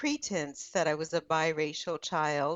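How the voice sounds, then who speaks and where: Her delivery keeps a moderate pace and ordinary pitch variation. This woman has an ordinary speaking voice. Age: 60s. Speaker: author. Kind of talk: interview, personal story.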